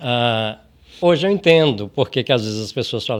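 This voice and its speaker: An unremarkable speaking voice from a man, moderate in pace, with lively intonation. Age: 60s. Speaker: podcast host. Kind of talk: casual chat.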